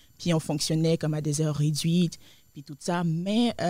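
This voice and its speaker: A woman speaks in a fairly low, dark, mellow tone with flat, monotone intonation at a fairly quick pace. The recording is very clean, with a silent background. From Côte d'Ivoire. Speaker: restaurant co-owner. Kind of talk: interview. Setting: studio. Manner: hesitant, many fillers.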